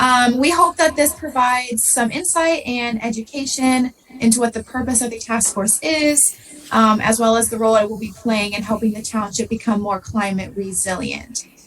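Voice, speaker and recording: Music plays in the background as a woman with an American accent talks at a moderate pace. Her pitch is fairly high, with ordinary pitch variation. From southern Ohio. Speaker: graduate student presenter. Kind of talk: presentation.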